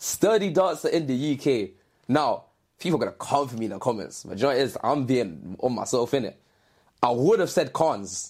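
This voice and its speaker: A man with a London accent speaks fairly quickly at a medium pitch, swinging very widely in pitch, on a very clean recording with a silent background. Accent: London Multicultural English, how i, sure 4. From East London. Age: 20s. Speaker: dancer. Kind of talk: casual chat.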